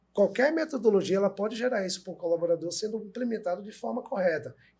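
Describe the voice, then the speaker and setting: A man is speaking. His pace is fairly quick. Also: big swings in loudness. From Brazil, Recife (Pernambuco, Northeast). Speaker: manufacturing methodology consultant. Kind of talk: casual podcast discussion.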